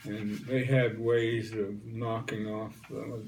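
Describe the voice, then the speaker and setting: At a very slow pace, a man with an American accent speaks at a medium pitch with fairly even intonation. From West Virginia. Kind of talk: interview answer. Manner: hesitant, conversational.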